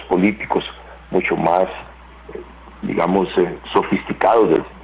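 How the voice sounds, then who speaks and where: Noticeable background noise is heard behind the speaker. He is a man who talks at a fairly slow pace. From Costa Rica. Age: 60s. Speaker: security analyst. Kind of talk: interview. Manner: measured, with frequent fillers.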